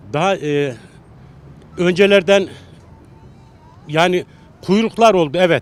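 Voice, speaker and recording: Pitched high, a man's voice shows ordinary pitch variation. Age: 60s. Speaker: passer-by interviewed on the street. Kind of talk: street interview.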